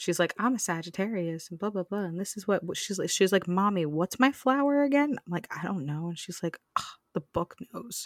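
The sound is dry and close with no echo as a woman speaks in a normal speaking voice at a medium pitch. Her intonation is lively, her pace moderate and her loudness swings widely. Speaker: podcast co-host. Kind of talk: casual chat.

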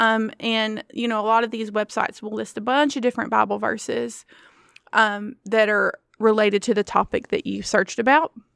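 An unremarkable speaking voice from a woman, fairly high in pitch with fairly even intonation at a moderate pace, dry and close with no echo on a very clean recording with a silent background. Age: 40s. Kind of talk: casual faith-based solo talk.

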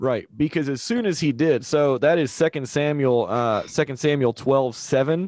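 A man talks at a moderate pace in an unremarkable speaking voice, his pitch fairly high and its variation ordinary. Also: hardly any pauses. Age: 30s. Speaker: church podcast host. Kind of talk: casual religious discussion.

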